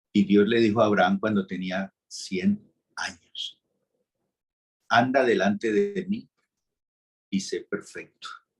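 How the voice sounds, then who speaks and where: This man talks at a very slow pace, leaving long, frequent pauses. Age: 60s. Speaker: pastor. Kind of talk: sermon.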